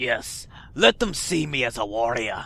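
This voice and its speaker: Someone uses a put-on character voice with a raspy sound. The pace is moderate. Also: man. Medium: game stream.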